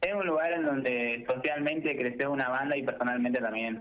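Pitched in the middle range, a man with an ordinary speaking voice speaks at a medium tempo. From Argentina, La Pampa. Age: young. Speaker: architecture student. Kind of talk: radio interview.

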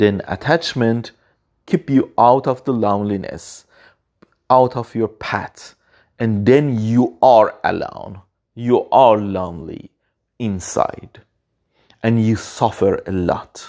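A dark, mellow tone at a very slow pace, with long, frequent pauses and a non-native accent. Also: man, medium pitch for a man, ordinary pitch variation. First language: not English. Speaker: podcaster. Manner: unscripted, halting, earnest.

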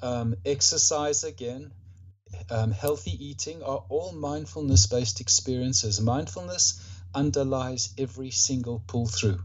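A man at a medium pitch, somewhat breathy, with lively intonation and a fairly slow pace. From Rhodesia (Zimbabwe), later Australia. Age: 60s. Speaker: author, mindfulness practitioner, veteran. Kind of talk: casual interview. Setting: remote call.

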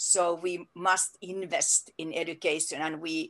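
Music plays in the background. A woman speaks over it at a fairly low pitch. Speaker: education administrator. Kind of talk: interview. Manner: halting.

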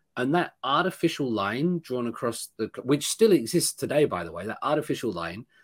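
A man with a British accent at a moderate pace, in a very clean recording with a silent background and a dry, close sound with no echo. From Britain. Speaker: professor. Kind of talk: interview.

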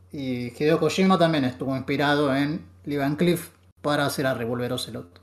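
Talking at a moderate pace, a man with an unremarkable speaking voice has a fairly high pitch and ordinary pitch variation. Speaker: podcast co-host. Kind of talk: casual chat.

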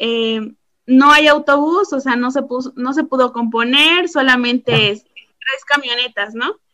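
A woman's raised, projected voice, high and bright with a sharp tone, comes at a fairly slow pace with ordinary pitch variation. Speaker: teacher. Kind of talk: casual chat.

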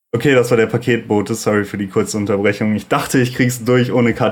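Very fast male speech with mostly level intonation. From Sauerland, western Germany. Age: 20s. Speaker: music producer and podcast host. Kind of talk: solo monologue, casual. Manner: casual, many filler sounds.

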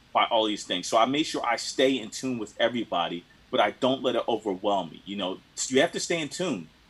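With an American accent and a normal speaking voice, a man talks at a fairly quick pace in a medium pitch with lively intonation. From Philadelphia. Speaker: DJ and record collector. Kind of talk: casual chat.

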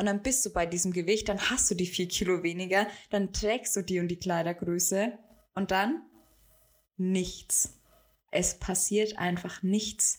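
A woman of medium pitch with fairly even intonation, very even loudness and long, frequent pauses, on a very clean recording with a silent background. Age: 20s. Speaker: business coach. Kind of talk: solo podcast monologue. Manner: casual, many filler sounds.

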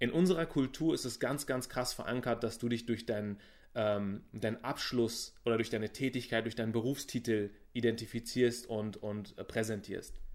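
In a very clean recording with a silent background, a man speaks in a plain, everyday voice at medium pitch and a moderate pace, his intonation fairly even. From Berlin, Germany. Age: 30s. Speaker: business coach. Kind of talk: interview.

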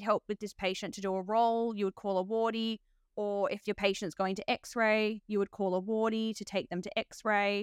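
A woman's fairly high voice, monotone and flat, at a moderate pace, dry and close with no echo, in a very clean recording over a silent background. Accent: Australian. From Australia. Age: 30s. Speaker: nurse and podcast host. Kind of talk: casual interview chat.

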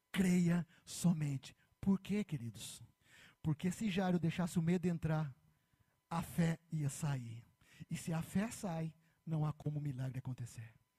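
A man's fairly high voice has a dark, mellow tone and ordinary pitch variation. The sound is dry and close, with no echo. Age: 40s. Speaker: pastor. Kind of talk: sermon.

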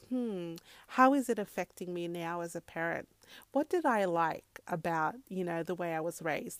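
A woman with an Australian accent speaks at a moderate pace, her medium-pitched voice lively in intonation, recorded very cleanly against a silent background with a dry, close sound and no echo. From Zimbabwe, then Australia from age 10. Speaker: podcast host and mother. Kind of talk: solo podcast monologue. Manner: casual, many fillers.

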